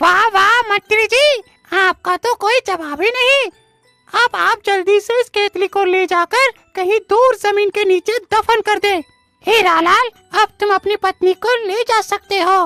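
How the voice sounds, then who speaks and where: A cartoonish character voice at a moderate pace, with faint music in the background. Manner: measured, authoritative.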